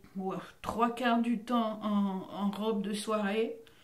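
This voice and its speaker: A woman with a medium pitch talks at a very slow pace, with audible room echo and noticeable background noise. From Belgium, Brussels. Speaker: actress and voice actor. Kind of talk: interview.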